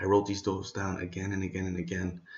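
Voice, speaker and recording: A man is speaking. He whispers. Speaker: entrepreneur vlogger. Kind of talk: casual vlog monologue. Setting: at home late at night. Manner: whispering.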